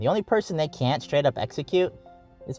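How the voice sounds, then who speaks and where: A man is speaking. Music plays in the background. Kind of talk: casual lore talk to camera. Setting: in a car. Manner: casual, unscripted, rambling.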